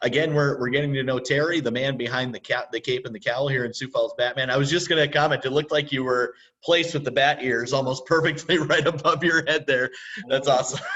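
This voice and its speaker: Speaking at a very fast pace, a man keeps his intonation fairly even with a fairly high pitch. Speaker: convention panel host. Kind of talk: live video interview. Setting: video call. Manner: halting, stumbles over words.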